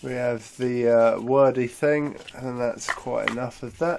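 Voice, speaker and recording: Under light background noise, a man speaks at a very slow pace. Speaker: product reviewer. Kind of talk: unboxing commentary.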